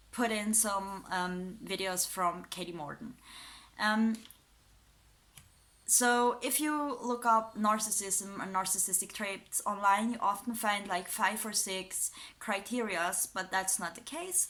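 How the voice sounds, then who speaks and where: This woman has a European accent and a bright, sharp tone, talking very slowly at a medium pitch with ordinary pitch variation. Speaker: YouTuber, psychology student. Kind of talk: casual commentary video. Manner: hesitant, many fillers.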